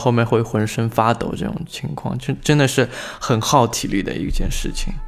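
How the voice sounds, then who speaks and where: Noticeable background noise runs under the recording. The speech moves at a moderate pace. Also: man. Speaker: fan site administrator and amateur radio host. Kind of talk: casual chat. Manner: stiff, formal-sounding.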